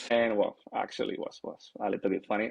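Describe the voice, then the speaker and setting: A man talks very fast at a medium pitch in a monotone, flat intonation. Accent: Spanish. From Spain. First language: Spanish. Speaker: airline captain. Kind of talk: interview. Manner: hesitant, many fillers.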